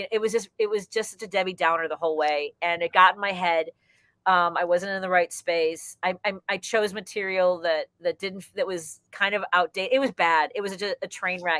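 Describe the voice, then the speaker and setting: Recorded dry and close with no echo, a woman speaks in a bright, sharp tone. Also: fairly even intonation. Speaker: stand-up comedian. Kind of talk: interview. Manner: fast; high energy.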